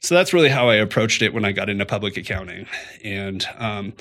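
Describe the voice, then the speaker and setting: A man speaks in a bright, sharp tone. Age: 30s. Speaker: accountant and firm owner. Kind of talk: casual interview. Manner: halting.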